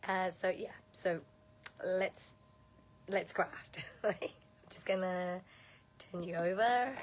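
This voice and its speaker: Quiet and very slow, a woman speaks at medium pitch with fairly even intonation and long, frequent pauses. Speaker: card-making demonstrator. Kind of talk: live craft tutorial.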